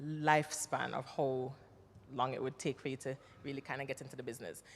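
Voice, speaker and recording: With a Jamaican accent, a woman talks in an animated tone at a fairly quick pace. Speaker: actress and former nurse, army veteran. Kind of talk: panel interview.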